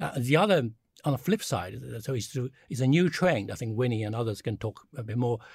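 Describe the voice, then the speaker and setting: Medium-pitched, somewhat breathy male voice with lively intonation. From China. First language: Chinese. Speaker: China strategy advisor, former diplomat. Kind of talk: panel discussion. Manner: halting, many fillers.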